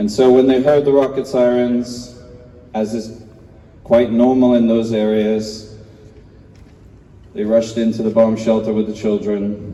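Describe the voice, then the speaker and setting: The speech moves at a fairly slow pace with long, frequent pauses and monotone, flat intonation. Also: man, medium pitch for a man. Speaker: hostage family member, campaigner. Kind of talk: rally speech. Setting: memorial rally with audience.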